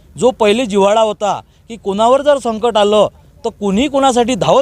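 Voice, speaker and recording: A man's extremely high-pitched voice comes through in a dry, close sound with no echo. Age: 30s. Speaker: event organiser, local social worker. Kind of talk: interview statement. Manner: halting.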